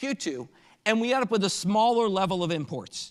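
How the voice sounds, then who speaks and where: A man speaks at a high pitch with lively intonation. The recording is very clean, with a silent background. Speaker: economics lecturer. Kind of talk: lecture. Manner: fast.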